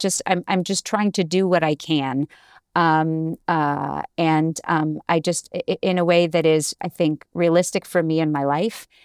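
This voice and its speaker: A woman with an American accent, fairly low pitch and ordinary pitch variation, at a fairly slow pace, in a very clean recording with a silent background and a dry, close sound with no echo. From Cambridge, Massachusetts. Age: 40s. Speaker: Broadway actress. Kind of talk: casual interview.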